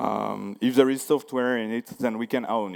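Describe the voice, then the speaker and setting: In a French accent, a man speaks with fairly even intonation. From France. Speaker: security researcher. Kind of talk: conference talk. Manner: halting, many fillers.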